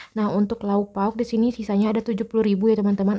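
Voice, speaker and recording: Her voice carries a dark, mellow tone. The speaker is a woman. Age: 20s. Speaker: personal finance vlogger. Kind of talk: casual vlog tutorial. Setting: recording at home in a bedroom. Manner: soft-spoken; halting.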